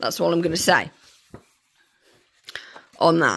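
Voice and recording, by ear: A croaky woman's voice, low-pitched and slow, with lively intonation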